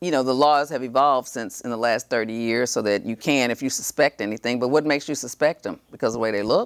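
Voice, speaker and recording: A woman talks very fast with a Texan accent and hardly any pauses, her voice very deep and low. Her intonation is fairly even, and the sound is dry and close with no echo. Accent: Texan American English. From Texas, San Antonio. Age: 60s. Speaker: TV show host and lawyer. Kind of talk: interview talk show.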